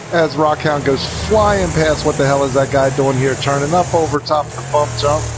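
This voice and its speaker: Fairly high male speech against clearly audible background noise. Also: ordinary pitch variation. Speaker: race commentator. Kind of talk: live commentary. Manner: fast; animated.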